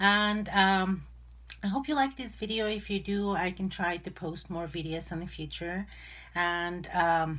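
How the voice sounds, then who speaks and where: At a fairly slow pace, a woman with a non-native accent talks at medium pitch with ordinary pitch variation. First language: not English. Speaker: crafting YouTuber. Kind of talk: tutorial. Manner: hesitant, many fillers.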